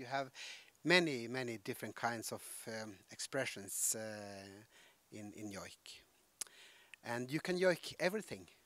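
A man's medium-pitched voice with lively intonation, a bright, sharp tone, big swings in loudness, a fairly slow pace, long and frequent pauses, and a dry sound with no echo. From Alta, Norway. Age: 50s. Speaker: Sami actor and joik singer. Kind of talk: interview answer. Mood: warm, amused storytelling. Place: hall. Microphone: handheld.

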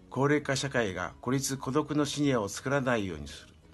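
Faint music plays in the background as a man speaks at a moderate pace. His pitch is medium, with ordinary variation. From Shimonoseki, Yamaguchi, Japan. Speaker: retired executive, senior association founder. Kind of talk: interview answer. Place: home room. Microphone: webcam.

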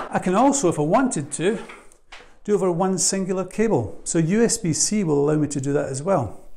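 A man's high-pitched voice, dark and mellow in tone, with vocal fry, lively intonation and a fairly quick pace

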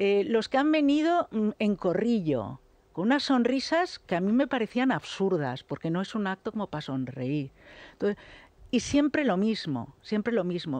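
With very wide pitch swings, a woman talks at a moderate pace in a dry sound with no echo. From Catalonia, Lleida; Catalonia. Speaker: political commentator. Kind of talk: radio panel debate. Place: studio. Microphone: studio mic.

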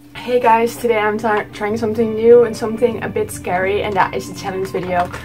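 Clear music plays in the background as a woman talks at a moderate pace. Her pitch is fairly high, with ordinary variation. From Netherlands. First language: Dutch. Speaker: vlogger. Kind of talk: casual talk to camera. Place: home room. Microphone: phone near.

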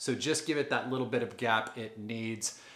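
A man speaks with a bright, sharp tone. The background is quiet, though some room echo can be heard. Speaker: home repair how-to host. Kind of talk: tutorial. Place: bathroom.

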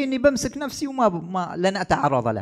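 The background stays quiet as a man keeps to a moderate pace. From Oman. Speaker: Shia cleric. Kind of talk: religious talk on Imam's life. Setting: husseiniya gathering with audience. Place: studio. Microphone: studio mic.

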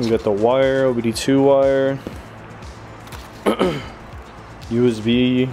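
A man's voice with music in the background. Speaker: car hobbyist vlogger. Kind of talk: casual vlog chat. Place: garage. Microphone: phone near.

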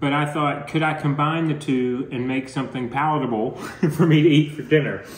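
Audible room echo surrounds the voice of a man speaking. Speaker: home vlogger. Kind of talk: casual vlog chat. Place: home room. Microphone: phone near.

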